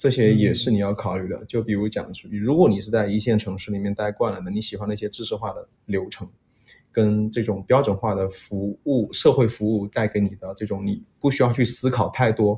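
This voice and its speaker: Somewhat breathy and dark, mellow in tone, a man speaks at a fairly quick pace with fairly low pitch and fairly even intonation. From Guangxi. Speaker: podcast guest. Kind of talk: casual chat.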